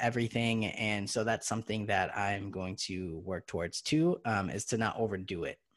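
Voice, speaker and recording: Over a quiet background, an ordinary speaking voice proceeds at a moderate pace with ordinary pitch variation. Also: man. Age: 30s. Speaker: podcast co-host. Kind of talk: casual chat.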